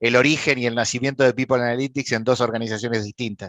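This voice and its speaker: In a dry, close sound with no echo and a quiet background, a man with an Argentine accent talks very fast at a medium pitch with fairly even intonation. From Argentina. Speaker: panel moderator. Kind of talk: panel introduction. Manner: hesitant with fillers.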